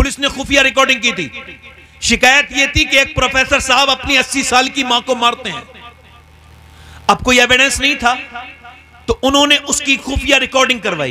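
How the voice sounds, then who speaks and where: A man speaks at an extremely high pitch in a raised, projected voice, moderately paced with long, frequent pauses. His intonation is flat and monotone, and there is noticeable background noise. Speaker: Islamic preacher. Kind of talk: sermon. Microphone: echo on PA mic.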